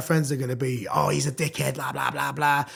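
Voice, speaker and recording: A man at a very fast pace, music in the background. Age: 30s. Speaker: hardcore music MC. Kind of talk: podcast interview. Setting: podcast with live audience. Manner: halting.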